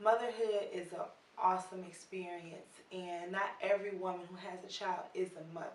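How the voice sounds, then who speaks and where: Her American accent delivered with monotone, flat intonation, a woman speaks with big swings in loudness amid audible room echo. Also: medium pitch for a woman, moderate pace. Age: 20s. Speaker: video blogger, interviewer. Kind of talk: video introduction.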